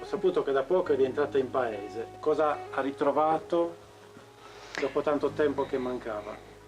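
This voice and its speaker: A man with a fairly high pitch talks at a moderate pace, using ordinary pitch variation. He leaves long, frequent pauses while music plays in the background. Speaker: interviewer.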